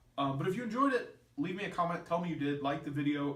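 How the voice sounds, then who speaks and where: A man, somewhat breathy, at a fairly quick pace, with audible room echo. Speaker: youtuber hosting a movie chat podcast. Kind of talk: casual chat. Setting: seated in a room with a guest. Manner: slips up often when talking.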